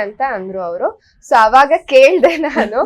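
A woman speaks with a high-pitched voice. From Malnad region, Karnataka. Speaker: social media content creator. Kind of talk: casual interview chat.

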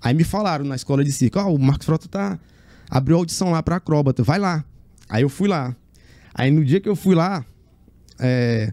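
Against a quiet background with dry sound and no echo, a man with a fairly high pitch and a dark, mellow tone talks at a moderate pace with lively intonation and long, frequent pauses. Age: 40s. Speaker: circus acrobat; interview guest. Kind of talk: interview. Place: studio. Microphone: studio mic.

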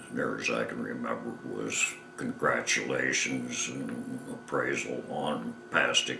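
Against noticeable background noise, a man with an American accent speaks at a very slow pace. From Michigan. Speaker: war veteran. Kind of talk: interview answer. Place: home room.

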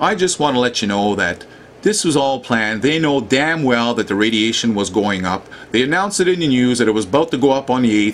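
Amid noticeable background noise, a man with a medium pitch speaks at a fairly quick pace. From Canada. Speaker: online commentator on Fukushima. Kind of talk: angry rant about information blocking and media. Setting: video narration over maps and screen. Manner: indignant, ranting, emphatic; casual, folksy, addresses viewers directly.

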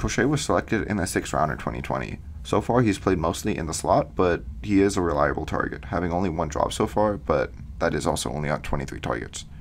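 Amid noticeable background noise, a man speaks with a very deep, low pitch. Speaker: football podcast host. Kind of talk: solo podcast analysis. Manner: fillers, reading prepared notes.

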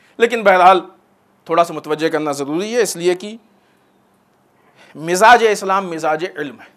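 With a fairly bright tone, a man speaks in a high voice at a moderate pace, using ordinary pitch variation.

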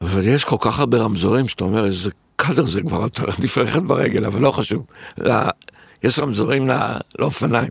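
Speaking at a very fast pace with long, frequent pauses, a man with a medium pitch sounds somewhat breathy and uses lively intonation. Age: 60s. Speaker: restaurateur and entrepreneur. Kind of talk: interview.

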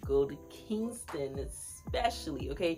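Over clear music in the background, a woman talks at a fairly slow pace. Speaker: travel vlogger. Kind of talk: casual vlog chat. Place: home room. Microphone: phone near.

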